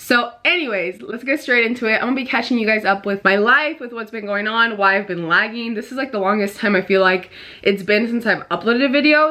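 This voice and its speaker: Speaking fairly quickly, a woman uses a fairly high pitch with ordinary pitch variation. There is noticeable background noise. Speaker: beauty vlogger. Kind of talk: makeup tutorial. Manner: fast; casual.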